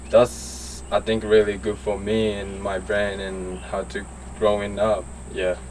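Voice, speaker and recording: Noticeable background noise behind a man with a Japanese accent. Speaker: BMX racer. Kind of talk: casual interview. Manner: halting.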